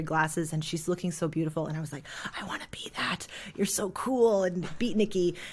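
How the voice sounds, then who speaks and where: A woman speaks in a fairly low pitch at a fairly quick pace. Her tone is animated. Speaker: jazz singer and voice teacher. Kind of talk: podcast interview answer. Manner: casual, animated.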